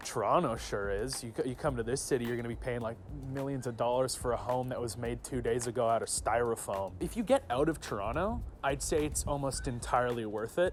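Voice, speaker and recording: The voice carries vocal fry and ordinary pitch variation. It moves at a fairly quick pace with hardly any pauses. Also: man, medium pitch for a man. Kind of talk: street interview.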